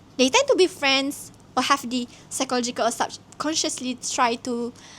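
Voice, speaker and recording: A woman with a Malaysian accent speaks at a high pitch. Her pace is moderate and her pitch variation ordinary. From Malaysia, Terengganu (east coast). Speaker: vlogger. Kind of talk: casual reflective monologue.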